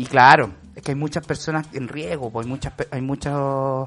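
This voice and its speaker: The man's voice is fairly high in pitch. He keeps a moderate tempo. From Chile. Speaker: podcast host. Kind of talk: casual chat.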